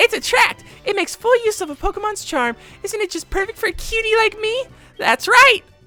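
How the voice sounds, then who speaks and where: An extremely high, put-on character voice at a fairly quick pace, with faint music in the background. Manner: cutesy, charming.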